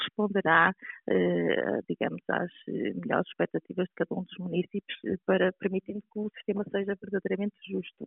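Monotone, flat delivery in a woman's mid-range pitch. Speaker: local councillor for environment. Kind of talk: interview. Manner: halting.

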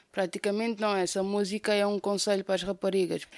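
A woman speaks at a fairly quick pace. The recording is very clean with a silent background, and the sound is dry and close with no echo. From Portugal, Cova da Moura (Amadora, Lisbon). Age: 20s. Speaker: rapper. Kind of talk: interview.

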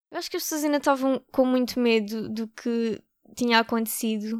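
A woman with a normal speaking voice talks at a fairly quick pace and fairly high pitch, intonation fairly even, in a very clean, dry, close recording with no echo and a silent background. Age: 20s. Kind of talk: interview.

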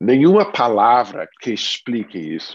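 Vocal fry runs through this man's voice against a quiet background. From United States. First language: English (speaking Portuguese). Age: 40s. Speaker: biographer and author. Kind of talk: interview at a reading club.

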